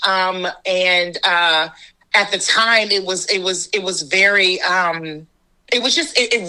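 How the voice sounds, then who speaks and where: A woman's ordinary speaking voice, medium in pitch, with an American accent and a fairly slow pace. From Washington, DC, USA. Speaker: actor, director and storyteller. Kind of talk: interview answer.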